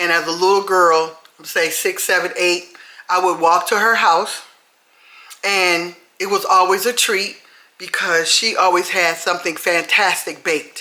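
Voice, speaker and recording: Speaking at a fairly slow pace, a woman uses an animated tone at medium pitch with very even loudness. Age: 60s. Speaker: retired home cook with a cooking channel. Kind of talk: casual cooking video talk to viewers.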